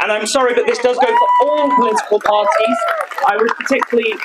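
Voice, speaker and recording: A man's very fast speech is accompanied by loud background noise. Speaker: local councillor addressing a rally. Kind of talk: political rally speech. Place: street. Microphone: handheld.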